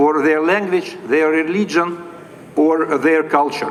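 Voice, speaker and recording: Very slowly paced speech comes through over clearly audible background noise. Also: man. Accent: Russian. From Russia. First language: Russian. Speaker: diplomat. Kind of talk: formal speech. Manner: formal.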